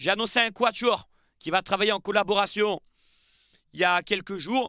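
A man with a high pitch projects a raised voice with a bright, sharp tone at a fairly slow pace, in a dry sound with no echo against a quiet background. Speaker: football YouTuber; football news youtuber. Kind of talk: casual video commentary. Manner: chatty, with fillers. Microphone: headset.

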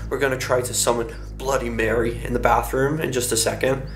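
Clear music can be heard behind the voice. The speaker is a man. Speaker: vlogger. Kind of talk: casual vlog chat. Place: home room. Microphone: phone near.

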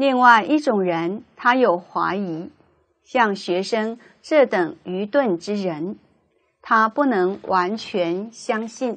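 Her intonation lively, a woman speaks very slowly at a fairly high pitch. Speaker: Buddhist student monk giving a report. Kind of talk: formal report read aloud to a teacher.

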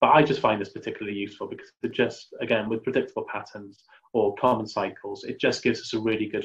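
Over a quiet background, the speech moves at a very fast pace. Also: man. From Wales. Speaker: mental health trainer. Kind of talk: webinar presentation. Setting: online webinar. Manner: hesitant, many fillers. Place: home room. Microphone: webcam.

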